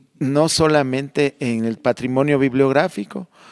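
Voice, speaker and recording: Using a normal speaking voice, a man talks at a fairly slow pace with fairly even intonation, the sound dry and close with no echo on a very clean recording with a silent background. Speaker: heritage conservator. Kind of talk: radio interview. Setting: recorded in a convent library.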